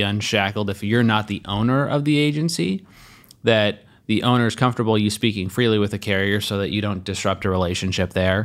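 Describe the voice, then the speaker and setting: At a fairly quick pace, a man talks in an unremarkable speaking voice with a fairly low pitch. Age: 30s. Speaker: podcast co-host, insurance agency owner. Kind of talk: casual chat.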